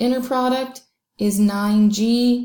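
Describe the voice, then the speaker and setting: A woman's voice, dark and mellow in tone and somewhat breathy, moves with ordinary pitch variation. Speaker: math teacher. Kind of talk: tutorial. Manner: fast.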